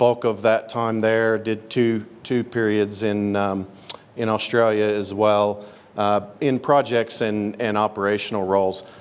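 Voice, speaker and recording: A man speaks at a fairly slow pace in a monotone, flat delivery, with noticeable background noise behind him. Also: fairly low pitch for a man. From Oklahoma. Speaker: mining company executive. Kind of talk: introductory speech at a meeting. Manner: halting, many fillers.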